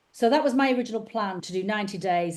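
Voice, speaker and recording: A woman with a Lancashire accent and lively intonation. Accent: northern English (Lancashire). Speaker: podcast host and author. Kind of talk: interview. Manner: animated.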